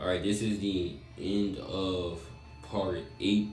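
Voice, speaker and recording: Over background music and audible room echo, a man talks in a very deep, low pitch with ordinary pitch variation. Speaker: fan fiction storyteller. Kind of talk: casual story narration. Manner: halting, stuttering.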